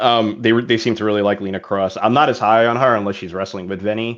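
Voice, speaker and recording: A man with an American accent and a fairly low pitch. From New York. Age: 40s. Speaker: podcast guest, wrestling fan. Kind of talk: casual chat. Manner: halting, many fillers.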